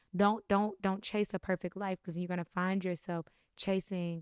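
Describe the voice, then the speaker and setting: A woman with a fairly low voice talks at a fairly quick pace in an animated tone, the sound dry and close with no echo. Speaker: podcast host. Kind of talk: faith-based monologue. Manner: fast.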